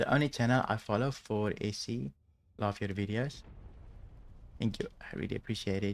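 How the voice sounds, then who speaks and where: Soft-spoken man, fairly low in pitch, at a moderate pace with ordinary pitch variation and long, frequent pauses, on a very clean recording with a silent background. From South Africa. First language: Afrikaans. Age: 30s. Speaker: video game streamer. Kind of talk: live gameplay commentary. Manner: calm, not loud.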